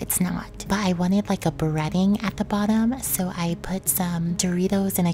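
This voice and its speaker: There is noticeable noise in the background. Over it, a woman speaks in a whisper. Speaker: mukbang YouTuber. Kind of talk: eating show with voice-over narration. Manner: whispering; casual, chatty.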